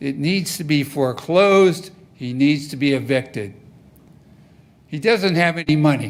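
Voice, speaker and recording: With long, frequent pauses, a man talks at a moderate pace in a fairly high pitch, his ordinary pitch variation carried through audible room echo. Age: 70s. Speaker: resident speaking at public comment. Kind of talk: public comment at council meeting. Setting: city council meeting. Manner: emphatic.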